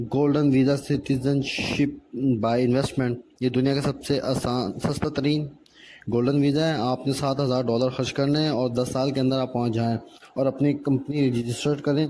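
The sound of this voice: This man's voice has a dark, mellow tone and medium pitch, with little pitch movement at a moderate pace. Audible room echo surrounds it.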